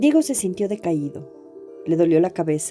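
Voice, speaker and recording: A woman's voice moves through very wide pitch swings with music in the background. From Ecuador. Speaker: writer narrating her own story. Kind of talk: audio story reading.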